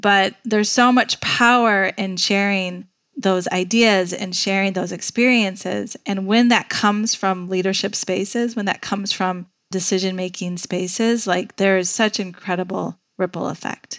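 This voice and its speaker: With an American accent, a woman uses a normal speaking voice, talking at a moderate pace with fairly even intonation. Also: medium pitch for a woman. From Chicago. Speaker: nonprofit executive director. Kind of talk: interview conversation.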